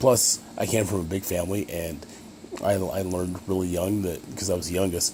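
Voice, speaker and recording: Amid noticeable background noise, a man with an American accent talks at a fairly quick pace, his very deep, low pitch holding fairly even intonation. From Utah, Ogden area. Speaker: college student. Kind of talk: self-introduction video. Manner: fast; halting with many fillers.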